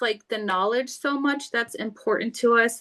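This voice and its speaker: This woman's voice is fairly high-pitched and moves at a moderate pace. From South Florida, US. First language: not English (language unstated). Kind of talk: interview conversation. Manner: halting, searching for words.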